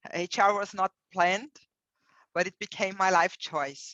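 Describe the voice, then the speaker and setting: With a non-native accent, a woman at medium pitch speaks at a fairly slow pace in a dry, close sound with no echo. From Brazil. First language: Portuguese. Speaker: HR executive. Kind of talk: interview.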